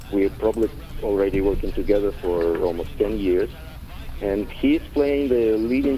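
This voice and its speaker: Over noticeable background noise, a man with a Russian accent speaks at a fairly slow pace with lively intonation. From Ukraine / Russia. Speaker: theater director and actor. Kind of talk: radio interview. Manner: halting, many fillers.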